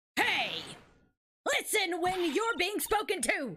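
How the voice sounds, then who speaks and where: A woman's put-on character voice at an extremely high pitch and a fairly slow pace. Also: lively intonation. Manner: scolding, demanding.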